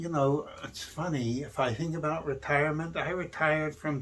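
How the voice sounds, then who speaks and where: At a fairly slow pace, a man speaks in a somewhat breathy voice, his pitch varying in an ordinary way. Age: 70s. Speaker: physician. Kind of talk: podcast monologue. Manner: reflective, conversational.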